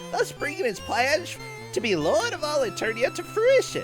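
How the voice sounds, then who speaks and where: A raspy, put-on character voice speaks at a moderate pace over clear music in the background. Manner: sinister.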